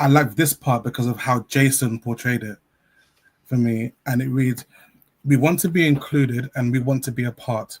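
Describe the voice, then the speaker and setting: With a London accent, a man talks at a moderate pace and a medium pitch, somewhat breathy. His intonation is fairly even, and the sound is dry and close with no echo. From South-East London. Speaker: children's author and teacher. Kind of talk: interview.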